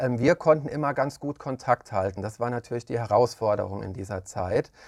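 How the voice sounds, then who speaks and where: Over a quiet background, a man talks in an ordinary speaking voice at a medium pitch and moderate pace, with a dry, close sound and no echo. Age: 30s. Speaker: daycare centre director. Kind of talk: interview.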